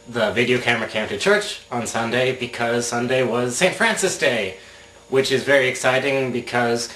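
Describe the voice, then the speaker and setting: A man with a medium pitch and fairly even intonation at a fairly quick pace, with noticeable background noise. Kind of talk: casual video blog talk to camera.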